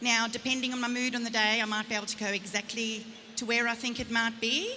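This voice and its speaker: A woman speaks at a fairly quick pace and fairly high pitch, her intonation fairly even. Audible room echo and noticeable background noise fill the recording. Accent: South African. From South Africa. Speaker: psychic medium. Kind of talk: live stage reading. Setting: stage with audience. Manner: fast.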